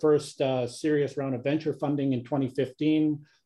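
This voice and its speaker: A man speaks at a moderate pace with a Canadian accent. His fairly high voice stays monotone and flat. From Canada. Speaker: engineer and company technology executive. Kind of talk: interview.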